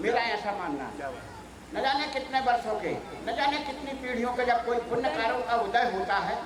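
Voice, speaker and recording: An animated man speaks at an extremely high pitch with lively intonation. Audible room echo and noticeable background noise come through. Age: 70s. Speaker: father honored at his golden wedding anniversary. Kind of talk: celebration speech.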